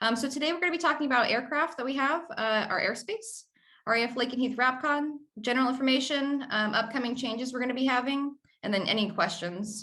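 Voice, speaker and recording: A woman with an American accent speaks in a raised, projected voice, high in pitch and bright, sharp in tone, at a very fast pace with ordinary pitch variation. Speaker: military air traffic controller. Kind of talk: presentation briefing.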